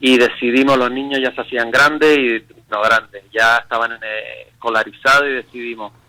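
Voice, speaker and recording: A man with a strong Canarian accent speaks at medium pitch and moderate pace in a bright, sharp tone with monotone, flat intonation. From Canary Islands, Spain. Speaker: pastor. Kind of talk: radio interview testimony.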